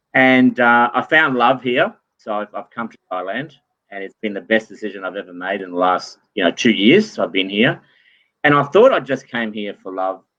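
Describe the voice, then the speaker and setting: A man with an Australian accent speaks at a moderate pace and medium pitch. His pitch varies in an ordinary way while his loudness swings widely. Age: 50s. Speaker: entrepreneur. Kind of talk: interview.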